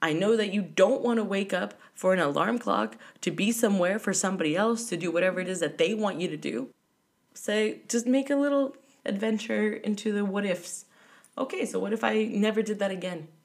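An animated woman's medium-pitched voice with vocal fry, ordinary pitch variation and a fairly quick pace, on a very clean recording with a silent background. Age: 30s. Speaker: travel podcaster. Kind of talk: solo monologue.

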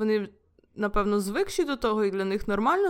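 A woman speaks at a fairly quick pace in a normal speaking voice, her pitch medium with ordinary variation. The recording is very clean, with a silent background. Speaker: podcast host. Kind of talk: casual chat.

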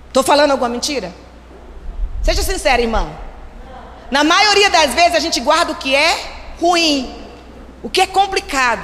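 A woman's high pitch and lively intonation at a moderate pace, broken by long, frequent pauses, with noticeable background noise and audible room echo. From Brazil, Recife. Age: 50s. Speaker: pastor. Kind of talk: sermon.

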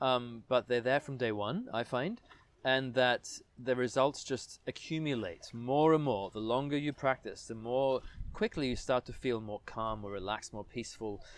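In a plain, everyday voice, a man speaks at a moderate pace with medium pitch and ordinary pitch variation. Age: 30s. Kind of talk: interview.

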